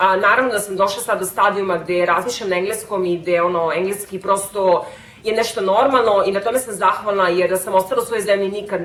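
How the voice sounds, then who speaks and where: A woman's medium-pitched voice at a very fast pace, hardly any pauses, fairly even intonation, and noticeable background noise. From Serbia. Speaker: vlogger. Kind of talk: casual vlog talk.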